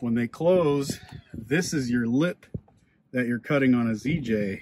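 At a fairly slow pace and with ordinary pitch variation, a man speaks in a dry sound with no echo over light background noise. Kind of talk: tutorial. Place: garage. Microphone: phone near.

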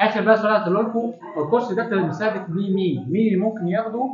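Against audible room echo, a man with a high pitch speaks at a very fast pace with ordinary pitch variation.

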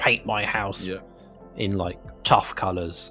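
Over clear music in the background, a man does a put-on character voice, gruff and very deep, fairly slow, with monotone, flat intonation. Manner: gruff, tough.

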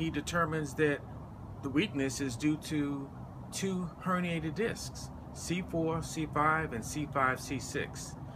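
A fairly high-pitched man with an American accent at a very slow pace, ordinary pitch variation, and noticeable background noise. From US South, Atlanta, Georgia. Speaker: military veteran, patient. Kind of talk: testimony; testimonial monologue. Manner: halting, with fillers. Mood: earnest, concerned. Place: street. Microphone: phone near.

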